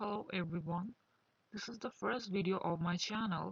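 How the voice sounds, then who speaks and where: A woman with a Bengali accent speaks at a fairly low pitch in a somewhat breathy voice. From Bangladesh. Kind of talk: personal testimony monologue.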